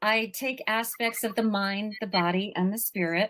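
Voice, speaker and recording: At a fairly slow pace, a woman talks in a plain, everyday voice with a medium pitch and ordinary pitch variation. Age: 60s. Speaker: life coach and author. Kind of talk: podcast interview.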